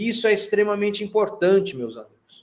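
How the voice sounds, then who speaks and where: A man with a high pitch. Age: 60s. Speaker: university lecturer. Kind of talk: online lecture. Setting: online class platform. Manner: halting.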